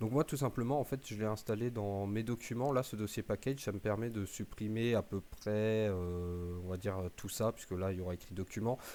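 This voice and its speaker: This man has a fairly low-pitched, dark, mellow voice with fairly even intonation. He moves at a moderate pace in a very clean recording with a silent background. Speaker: gaming youtuber. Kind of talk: tutorial. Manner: hesitant, many fillers.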